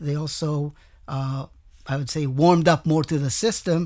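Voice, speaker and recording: Speaking in an Israeli accent, a man uses a fairly high pitch at a fairly slow pace. The recording is very clean, with a silent background. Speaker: tech executive. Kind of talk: interview.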